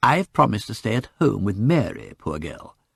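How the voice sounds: A put-on character voice from a man, fairly low-pitched with big pitch swings, a fairly bright tone, vocal fry and a slightly husky edge, at a moderate pace on a very clean recording with a silent background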